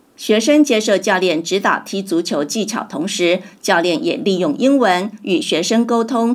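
Over noticeable background noise, a woman speaks at a fairly slow pace. Her medium pitch makes very wide swings. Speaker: news reporter. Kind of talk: news reading.

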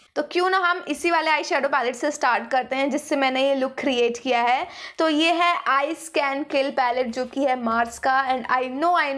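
A high-pitched woman's voice at a moderate pace with fairly even intonation. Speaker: beauty vlogger. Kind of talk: casual vlog chat. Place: home room. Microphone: phone near.

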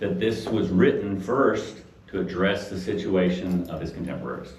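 Over noticeable background noise and audible room echo, a man speaks in an animated tone. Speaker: Bible study teacher. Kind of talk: lecture. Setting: room with live audience. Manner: fast when excited.

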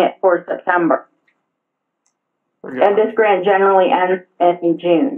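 A woman at a moderate pace, fairly even in intonation, over a quiet background. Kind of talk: formal meeting request. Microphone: phone line.

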